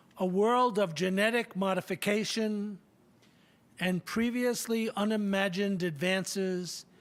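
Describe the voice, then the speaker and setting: The voice moves at a fairly slow pace with fairly even intonation on a very clean recording with a silent background. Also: man. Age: 70s. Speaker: commencement speaker. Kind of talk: commencement address. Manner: formal.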